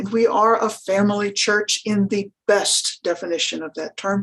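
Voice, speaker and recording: Here is a woman with an unremarkable speaking voice at a medium pitch. Her intonation is fairly even, and her pace is moderate. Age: 60s. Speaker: rural pastor. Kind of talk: panel presentation. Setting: webinar.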